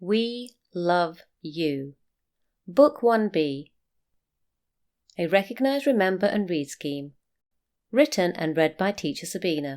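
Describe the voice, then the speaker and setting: At a very slow pace, a woman with a British accent and fairly low pitch leaves long, frequent pauses while her pitch swings very widely. The recording is very clean, with a silent background. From UK. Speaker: teacher. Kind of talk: reading aloud. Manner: clear.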